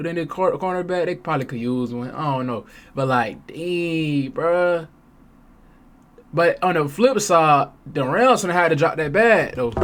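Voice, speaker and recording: Here a man talks at a moderate pace in an animated tone. His voice is high-pitched, and his intonation lively. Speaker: sports reaction streamer. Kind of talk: casual reaction commentary. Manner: halting, stumbling over words.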